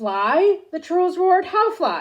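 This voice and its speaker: A woman growls in a put-on character voice. Her pitch is extremely high. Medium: read story. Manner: broken simple speech.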